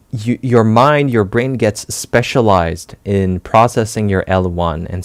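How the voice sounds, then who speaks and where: With a French accent and ordinary pitch variation, a man speaks in a dry, close sound with no echo. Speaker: language-learning educator. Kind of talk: educational talk. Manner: hesitant, many fillers.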